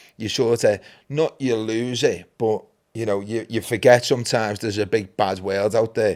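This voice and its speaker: In a very clean recording with a silent background, a man with a Liverpool accent speaks at a moderate pace and medium pitch. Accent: Scouse (Liverpool). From Liverpool, England (Anfield). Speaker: podcast co-founder and host. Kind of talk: casual chat.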